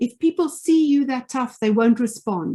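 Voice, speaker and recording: A woman with a South African accent, fairly high pitch, lively intonation and a moderate pace. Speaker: leadership trainer and former finance executive. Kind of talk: webinar presentation. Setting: online webinar.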